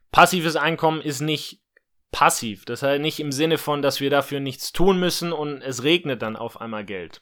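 At a moderate pace and with ordinary pitch variation, this bright, sharp voice shows big swings in loudness on a very clean recording with a silent background. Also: man, fairly high pitch for a man. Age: 20s. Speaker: podcast host and online entrepreneur. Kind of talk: solo podcast monologue.

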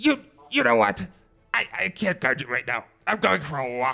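The voice is an exaggerated, put-on character. Its tempo sits in the middle, neither fast nor slow. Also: man, medium pitch for a man. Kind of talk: comic overacting. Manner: pompous, then exasperated and sulky.

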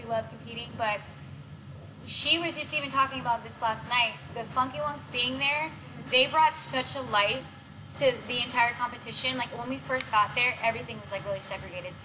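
The speech moves at a fairly quick pace with big swings in loudness. Noticeable background noise runs underneath. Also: woman, high pitch for a woman, ordinary pitch variation. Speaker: dance choreographer and coach. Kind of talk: casual interview chat. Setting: gym.

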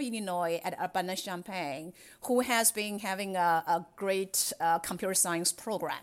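A woman's medium-pitched voice with a Chinese accent and ordinary pitch variation, in a very clean recording with a silent background. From China. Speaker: cybersecurity executive. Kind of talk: interview.

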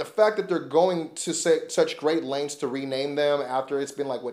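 This man has a plain, everyday voice. His pitch is fairly high, and he talks at a moderate pace. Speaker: wrestling podcast host. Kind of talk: casual podcast chat, show review and promo. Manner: casual, conversational, filler words.

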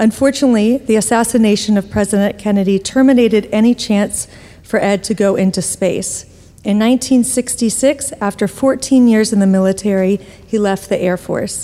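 Through noticeable background noise, a woman with a fairly high pitch talks at a moderate pace with fairly even intonation. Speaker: event organizer introducing speakers. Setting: stage with audience.

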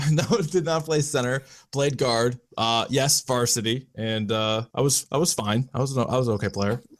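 A man of medium pitch speaks in a plain, everyday voice at a moderate pace, with hardly any pauses, ordinary pitch variation, and very even loudness, on a very clean recording with a silent background. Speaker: radio host and sports commentator. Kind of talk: casual chat.

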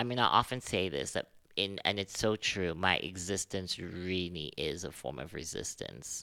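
With a very deep, low pitch and vocal fry, a man speaks at a moderate pace in a bright, sharp tone and lively intonation on a very clean recording with a silent background. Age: 20s. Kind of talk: interview conversation. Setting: studio.

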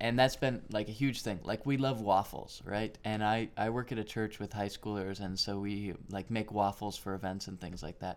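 A man's normal speaking voice at a fairly low pitch and moderate pace, with fairly even intonation, on a very clean recording with a silent background. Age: 20s. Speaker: podcaster, young father. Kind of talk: casual chat.

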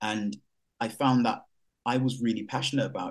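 A man with a London accent talks at a fairly quick pace. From Jamaica, raised in East London. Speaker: explorer and nature broadcaster. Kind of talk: panel talk.

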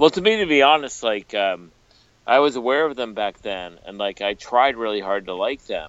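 Holding a moderate pace, a man speaks at a medium pitch. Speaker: music podcast co-host and radio DJ. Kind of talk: casual chat.

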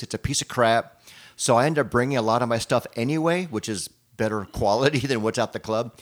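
Here a man talks at a fairly quick pace with an ordinary speaking voice, medium pitch and ordinary pitch variation. The recording is very clean, with a silent background. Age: 60s. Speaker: podcast co-host and musician. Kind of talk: casual chat.

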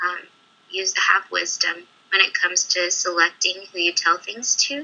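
A woman with an American accent and an unremarkable speaking voice talks at a moderate pace and medium pitch. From California. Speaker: aspiring performer and model, university student. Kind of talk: casual interview chat.

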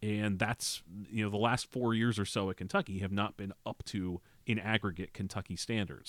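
A man with a normal speaking voice talks at a moderate pace in a dry, close sound with no echo, on a very clean recording with a silent background. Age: 40s. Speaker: college sports writer. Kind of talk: casual chat. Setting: studio.

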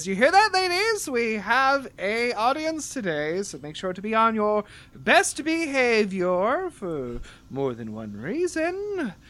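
A female-sounding, put-on character voice speaks at a fairly slow pace. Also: fairly high pitch for a woman. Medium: actual play. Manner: warm, enthusiastic, motherly.

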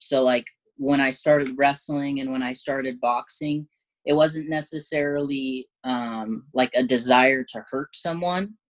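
A man with a normal speaking voice talks at a fairly slow pace, fairly high in pitch and fairly even in intonation. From southern Oregon, US. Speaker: MMA fighter. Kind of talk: casual interview.

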